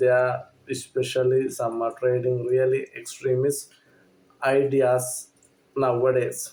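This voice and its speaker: A man with a medium pitch talks at a very slow pace in a dark, mellow, somewhat breathy tone with monotone, flat intonation. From Sri Lanka. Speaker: movie reviewer. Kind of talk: casual review monologue. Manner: halting, many fillers.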